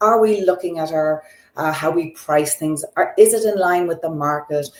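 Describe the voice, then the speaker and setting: With a slight Irish accent, a woman speaks at a fairly low pitch. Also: ordinary pitch variation, moderate pace. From Ireland. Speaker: optical business consultant. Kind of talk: interview.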